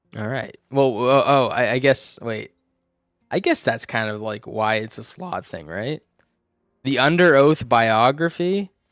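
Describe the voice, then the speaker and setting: Music in the background behind a man of medium pitch, lively in intonation, at a fairly slow pace. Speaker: game streamer. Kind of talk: live gameplay commentary. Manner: casual, halting.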